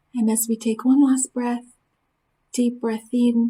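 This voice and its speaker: At a fairly slow pace, a woman speaks in a dark, mellow tone with monotone, flat intonation. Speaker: spiritist study group leader. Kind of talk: lecture; guided meditation.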